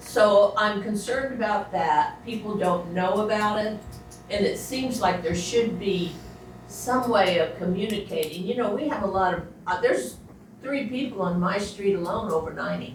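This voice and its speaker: A woman talks at a moderate pace with ordinary pitch variation, audible room echo and music in the background. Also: medium pitch for a woman. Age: 80s+. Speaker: resident speaking at public meeting. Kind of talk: public comment at county meeting.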